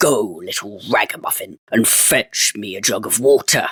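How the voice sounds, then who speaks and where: In a put-on character voice, a man growls and booms at medium pitch and a moderate pace. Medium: read story. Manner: archaic thee-and-thou speech, growling into his beard.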